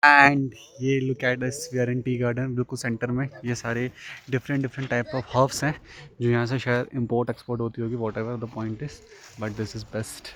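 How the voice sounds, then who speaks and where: A man's medium-pitched voice, monotone with flat intonation, at a moderate pace. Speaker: travel vlogger. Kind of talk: casual talk to camera.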